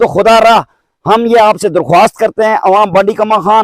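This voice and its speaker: This man has a high pitch and talks at a moderate pace. The sound is dry and close, with no echo. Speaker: villager. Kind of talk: public appeal interview. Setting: outdoors. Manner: formal.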